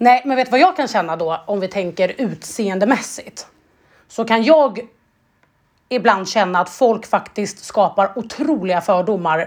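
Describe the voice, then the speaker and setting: A woman's pitch varies in an ordinary way. Nothing intrudes on the very clean recording, its background silent. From Sweden. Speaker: podcast co-host. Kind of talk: casual chat.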